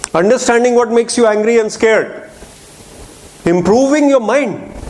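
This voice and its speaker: There is noticeable background noise as a man speaks at a moderate pace in an animated tone with ordinary pitch variation. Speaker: motivational speaker. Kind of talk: inspirational talk. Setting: lecture hall with audience.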